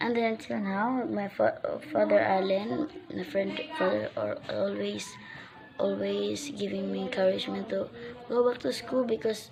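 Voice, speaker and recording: A woman speaks with a Filipino accent at a moderate pace. Noticeable background noise runs behind her. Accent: Filipino (Waray) English. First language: Waray / Filipino. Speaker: vlogger, recent graduate. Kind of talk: personal vlog message. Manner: halting, many self-corrections.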